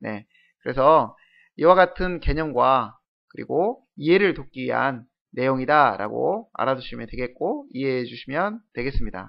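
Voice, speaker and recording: An ordinary speaking voice moves at a fairly slow pace with lively intonation. Its loudness swings widely. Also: man, medium pitch for a man. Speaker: programming lecturer. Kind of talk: lecture.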